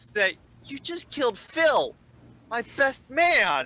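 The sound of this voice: A put-on character voice, high-pitched and squeaky, at a very slow pace.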